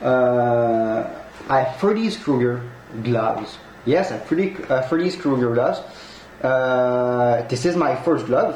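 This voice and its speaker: Slowly, very slowly, a man with a Quebec accent speaks at a medium pitch with lively intonation. Noticeable background noise and audible room echo fill the recording. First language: French. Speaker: collectibles unboxing youtuber. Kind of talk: unboxing review. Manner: halting.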